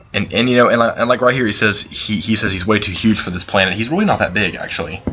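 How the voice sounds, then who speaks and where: Over noticeable background noise, a man talks at a very fast pace, his fairly low pitch showing ordinary variation. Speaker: gaming channel host. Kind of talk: let's play commentary. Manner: halting, many repeated words and fillers; unscripted, casual.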